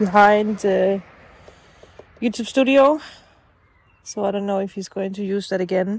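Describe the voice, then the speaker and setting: A woman with fairly even intonation, in dry sound with no echo. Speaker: vlogger. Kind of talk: casual vlog chat. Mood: relaxed, nostalgic. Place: garden. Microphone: phone near.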